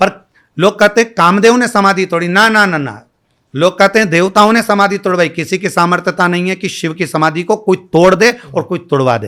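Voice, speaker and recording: This man's voice is high-pitched and bright and sharp in tone, with ordinary pitch variation. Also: moderate pace. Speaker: kathavachak (Shiv Puran storyteller). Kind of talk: interview answer. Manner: calm.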